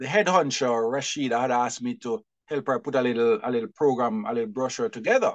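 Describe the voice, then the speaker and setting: A man talks at a very fast pace with hardly any pauses. His medium-pitched voice has lively intonation. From Jamaica, St. Elizabeth. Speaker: publisher and bookseller. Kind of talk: interview.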